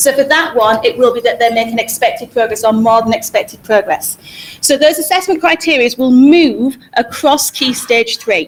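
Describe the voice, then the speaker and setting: This woman speaks with a Hull accent. Her pitch is high and her intonation lively. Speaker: school teacher presenting to parents. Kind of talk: presentation to parents. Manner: fast.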